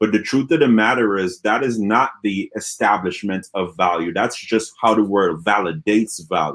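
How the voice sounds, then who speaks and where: Speaking with an Antiguan accent, a man with a fairly low voice talks in an animated tone with hardly any pauses on a very clean recording with a silent background. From Antigua and Barbuda. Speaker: motivational speaker. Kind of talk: interview Q&A.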